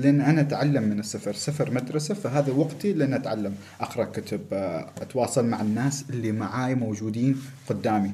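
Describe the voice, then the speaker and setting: Somewhat breathy, a man talks at a medium pitch. His pace is moderate. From Oman. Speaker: world traveler. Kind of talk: casual chat.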